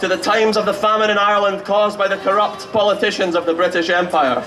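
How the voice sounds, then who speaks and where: Delivered at a very fast pace with ordinary pitch variation, the speech has audible room echo and noticeable background noise. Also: man. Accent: Edinburgh. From Scotland, Edinburgh. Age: 20s. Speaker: political activist speaker, student. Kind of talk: political rally speech. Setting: outdoor stage with audience. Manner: impassioned, declamatory.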